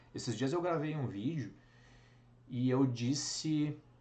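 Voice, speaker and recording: A man with a fairly high pitch and a bright, sharp tone talks at a very slow pace. His pitch varies in an ordinary way, with audible room echo. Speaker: teacher. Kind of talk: lecture. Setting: live online class.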